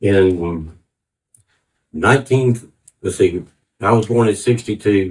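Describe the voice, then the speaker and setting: A man speaks very slowly in a fairly low, somewhat breathy voice with ordinary pitch variation. Long, frequent pauses break up his speech. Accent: American. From US South, Atlanta, Georgia. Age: 60s. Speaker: church testimony speaker. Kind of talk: testimony. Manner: halting.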